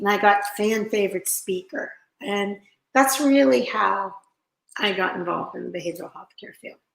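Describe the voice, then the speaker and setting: A woman speaks at a moderate pace and a medium pitch. Her intonation is lively, with big swings in loudness. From Pennsylvania, Pittsburgh area. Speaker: interventionist. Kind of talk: interview.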